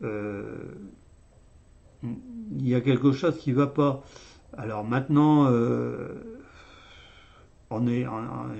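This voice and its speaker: This is a man speaking. His pitch is medium. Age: 60s. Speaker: YouTuber commenting on economics. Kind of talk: casual video monologue. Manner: halting, many hesitations.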